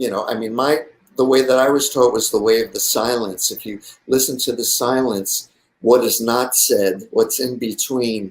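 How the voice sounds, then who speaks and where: Speaking with fairly even intonation, a man uses a medium pitch. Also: moderate pace. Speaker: designer and musician guest. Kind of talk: talk show interview. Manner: soft-spoken.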